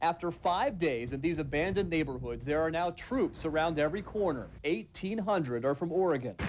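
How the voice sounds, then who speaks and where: In an ordinary speaking voice, a man with a fairly high pitch talks at a fairly quick pace with hardly any pauses, lively intonation and very even loudness. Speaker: television news reporter. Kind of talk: live TV news report from a disaster zone.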